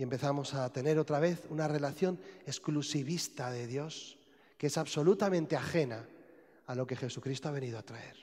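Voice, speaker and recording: Over a quiet background, a man with a Spanish accent speaks at a moderate pace in a somewhat breathy, fairly high voice, with ordinary pitch variation and big swings in loudness. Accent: Spanish (Spain). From Spain. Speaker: priest. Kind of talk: sermon. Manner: halting. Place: church.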